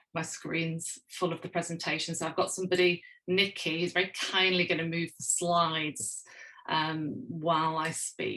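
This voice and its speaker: In a Northern English accent, a woman speaks at a moderate pace with a fairly low pitch, a bright, sharp tone and flat, monotone intonation. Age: middle-aged. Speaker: sociology professor. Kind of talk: keynote lecture.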